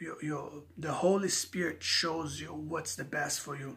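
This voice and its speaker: With a non-native accent, a man speaks at a fairly high pitch in a monotone, flat intonation. Noticeable background noise is present. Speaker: vlogger. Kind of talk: rant to camera. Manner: halting, repeating words.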